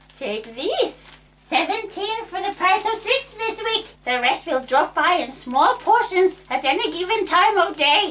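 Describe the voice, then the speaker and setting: In a put-on character voice, a woman speaks at an extremely high pitch with very wide pitch swings, moving at a fairly slow pace with hardly any pauses. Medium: audio drama. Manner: pushy, salesy.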